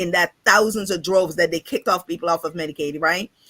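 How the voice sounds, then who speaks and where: A woman's animated, medium-pitched voice with ordinary pitch variation, in a dry, close sound with no echo. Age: 50s. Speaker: insurance and financial coach. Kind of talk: casual interview on live show. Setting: livestream.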